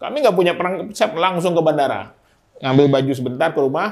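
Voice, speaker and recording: The man talks at a moderate pace with ordinary pitch variation, the background quiet. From Medan, North Sumatra, Minangkabau family. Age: 40s. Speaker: mayoral candidate. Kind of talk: casual interview talk. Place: studio. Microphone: lapel.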